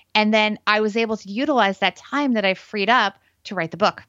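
A woman talks at a fairly quick pace with an American accent. She has a plain, everyday voice at medium pitch with ordinary pitch variation. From New Jersey, US. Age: 40s. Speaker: financial planner. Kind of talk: casual interview.

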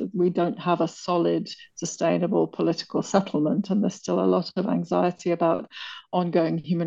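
A woman's fairly low, dark, mellow voice with vocal fry, in a British accent, at a moderate pace and with monotone, flat intonation. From Britain. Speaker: author and Ethiopia consultant. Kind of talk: interview.

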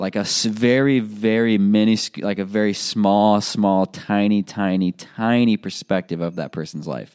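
Here is a normal speaking voice with ordinary pitch variation. The recording is very clean with a silent background, and the sound is dry and close with no echo. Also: man. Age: 20s. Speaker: podcast host. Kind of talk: solo motivational podcast monologue. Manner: casual with frequent fillers.

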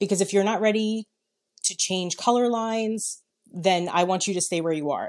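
An American accent from a woman at medium pitch, moderate pace and ordinary pitch variation. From New York. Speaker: salon business consultant. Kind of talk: casual chat.

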